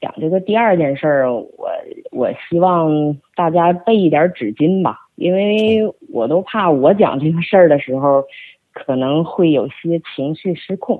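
At a fairly slow pace, a woman with a fairly low pitch speaks with lively intonation. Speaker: media and event producer. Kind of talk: storytelling interview.

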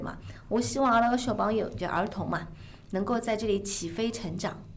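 The voice shows ordinary pitch variation. Noticeable background noise and audible room echo are present. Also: woman. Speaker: former pop singer, music school head. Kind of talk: casual interview in Shanghainese.

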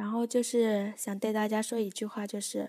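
A woman's fairly high voice comes at a moderate pace on a very clean recording where the background is silent. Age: young. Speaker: amateur podcast host. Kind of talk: casual solo chat. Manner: unscripted, hesitant with many fillers.

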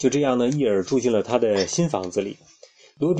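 Lively intonation over an unforced reading voice

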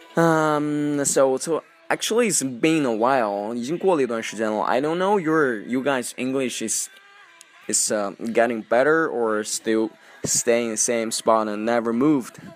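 Noticeable background noise sits under the voice. The delivery is fairly slow, with ordinary pitch variation. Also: man, medium pitch for a man. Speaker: radio-style podcast host teaching English. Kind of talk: casual English-teaching monologue, mixing Chinese and English. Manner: hesitant, many fillers.

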